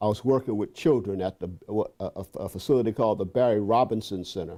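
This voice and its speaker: A man's dark, mellow voice in an American accent, fairly quick, with ordinary pitch variation and a very clean recording over a silent background. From Boston, Roxbury. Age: 70s. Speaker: psychologist and professor. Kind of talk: interview. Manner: halting, frequent repetitions.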